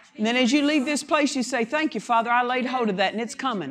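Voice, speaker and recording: A woman speaks loudly, at a high pitch, in an animated tone. Her intonation is lively. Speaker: guest preacher. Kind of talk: sermon. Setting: church.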